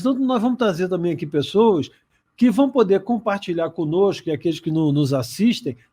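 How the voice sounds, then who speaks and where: On a very clean recording with a silent background, a man's high-pitched voice carries a dark, mellow tone and lively intonation. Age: 60s. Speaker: career program co-host. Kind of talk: casual talk show chat. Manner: halting.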